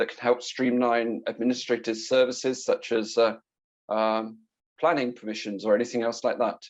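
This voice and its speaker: Speaking with a British accent, a man holds a medium pitch. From Britain. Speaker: IT security consultant. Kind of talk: conference presentation. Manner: fast.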